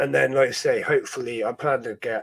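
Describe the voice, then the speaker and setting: Speaking with a Dorset accent, a man keeps a moderate pace and ordinary pitch variation. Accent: Dorset farmer style. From Dorset, southwest England. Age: 30s. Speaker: ant-keeping streamer. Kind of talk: casual chat. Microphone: new microphone.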